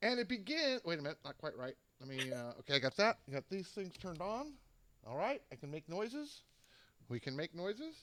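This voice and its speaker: A man speaks at a fairly quick pace in a high voice. His pitch swings very widely. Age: 60s. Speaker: show producer and co-host. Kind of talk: casual chat, pre-show setup.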